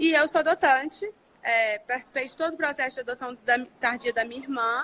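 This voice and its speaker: In a strong mineiro accent, a woman uses a raised, projected voice with a bright, sharp tone and a high pitch, speaking at a fairly quick pace with ordinary pitch variation and big swings in loudness. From Brazil, Minas Gerais (Belo Horizonte). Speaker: family law lawyer. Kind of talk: casual live chat. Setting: Instagram live stream.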